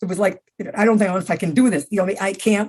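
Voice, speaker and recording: A somewhat breathy woman's voice at a medium pitch, fairly quick, with an American accent. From US Northeast (upstate New York, Adirondacks). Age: 80s+. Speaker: senior athlete. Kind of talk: interview. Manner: halting.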